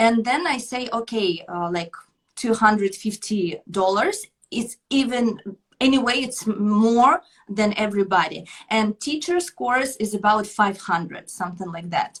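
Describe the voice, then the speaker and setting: A woman talks at a moderate pace with lively intonation. Her voice is somewhat breathy. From Ukraine. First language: Russian or Ukrainian. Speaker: belly dancer and dance teacher. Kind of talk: interview. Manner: halting.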